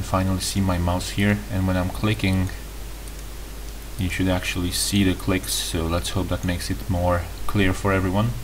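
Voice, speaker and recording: Over noticeable background noise and audible room echo, a man with a non-native accent speaks at a moderate pace. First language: not English. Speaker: tutorial youtuber. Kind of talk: tutorial. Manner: halting, with self-corrections.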